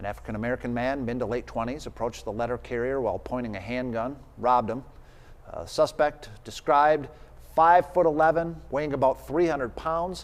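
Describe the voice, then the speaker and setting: A man talks at a fairly quick pace. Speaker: television news anchor. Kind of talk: TV newscast anchor read.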